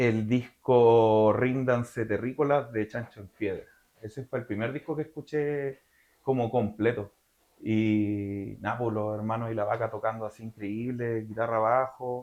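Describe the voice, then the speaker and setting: Speaking fairly slowly at a medium pitch, a man with a Chilean accent keeps his intonation fairly even. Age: 30s. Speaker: metal singer. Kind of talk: interview. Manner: casual with many fillers.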